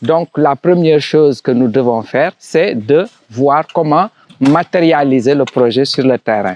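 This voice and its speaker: In an Italian accent, a man talks at a fairly slow pace and a fairly high pitch, with ordinary pitch variation and very even loudness in a dry, close sound with no echo. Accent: French affected by Italian habits. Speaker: construction site manager. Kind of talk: site tour presentation. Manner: hesitant, with restarts.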